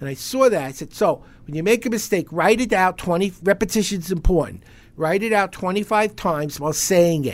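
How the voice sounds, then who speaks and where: Speaking at a moderate pace in a New York accent, a man with a high pitch is heard on a very clean recording with a silent background. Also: ordinary pitch variation. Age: 70s. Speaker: speed reading instructor. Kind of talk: interview. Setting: studio.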